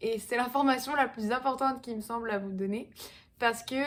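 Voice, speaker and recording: A plain, everyday voice from a woman, fairly high in pitch with ordinary pitch variation, on a very clean recording with a silent background. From southwestern France, Pau. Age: 20s. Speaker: fitness coach. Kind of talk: casual vlog talk. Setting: at home in apartment.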